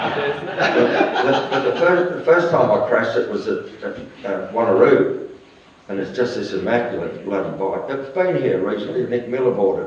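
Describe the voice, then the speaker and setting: Over noticeable background noise and audible room echo, a man talks at a moderate pace. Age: 70s. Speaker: retired motorcycle racer. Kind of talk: casual interview.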